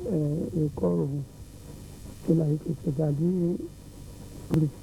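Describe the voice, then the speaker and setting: Dark and mellow in tone, a man speaks with fairly even intonation. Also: fairly high pitch for a man, fairly slow pace. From Côte d'Ivoire, Soubré. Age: 80s+. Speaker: family elder. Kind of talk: interview.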